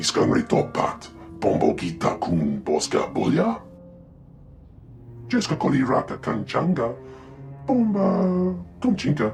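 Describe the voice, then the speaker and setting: Over clear music in the background, a man uses a put-on character voice at a fairly slow pace, with long, frequent pauses. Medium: video game. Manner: twitchy.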